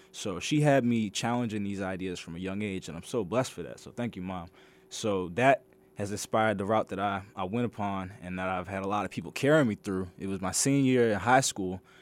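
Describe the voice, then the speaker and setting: In a very clean recording with a silent background, a man with an American accent has an ordinary speaking voice, a fairly low pitch, ordinary pitch variation, a fairly quick pace and big swings in loudness. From Maryland, Washington DC area. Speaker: graduate student. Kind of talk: radio interview. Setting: radio studio.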